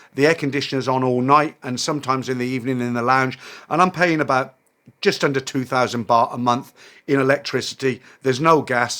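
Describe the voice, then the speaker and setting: With a British accent, a man speaks at a fairly quick pace in a medium pitch and fairly even intonation, recorded very cleanly against a silent background. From UK. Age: 60s. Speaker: expat vlogger. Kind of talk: casual vlog monologue. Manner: hesitant, many fillers.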